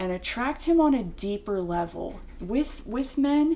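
Her tone dark and mellow, a woman speaks at a high pitch with very wide swings and a fairly slow pace. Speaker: vlogger. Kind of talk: casual vlog chat. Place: home room.

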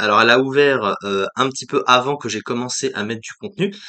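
A man speaks at a medium pitch with a bright, sharp tone. The background is quiet. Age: 20s. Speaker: YouTuber, let's play gamer. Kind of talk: channel presentation vlog to camera. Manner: halting, many fillers. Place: home room. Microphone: webcam.

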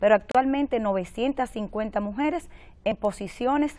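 A woman's dark, mellow voice with lively intonation. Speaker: mayor. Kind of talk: TV interview.

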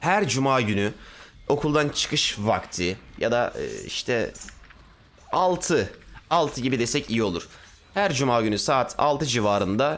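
Lively intonation runs through this man's speech. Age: 20s. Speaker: gaming streamer. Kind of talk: casual chat. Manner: animated. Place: home room. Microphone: headset.

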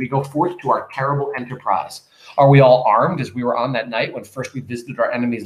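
An unforced reading voice carries the whole clip.

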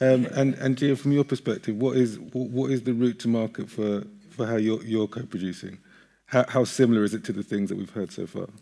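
Over a quiet background, a man talks at a fairly quick pace with a dark, mellow tone and ordinary pitch variation. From UK. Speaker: panel moderator. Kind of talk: panel discussion. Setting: stage with audience. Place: stage.

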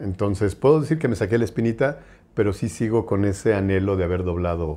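This man's voice sits fairly low in pitch, dark and mellow in tone, with ordinary pitch variation. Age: 50s. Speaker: voice actor. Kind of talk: interview. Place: home room. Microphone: lapel.

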